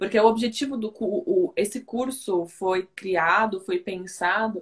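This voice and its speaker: A woman speaks with a Brazilian accent and ordinary pitch variation. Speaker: communications officer hosting interview. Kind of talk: interview.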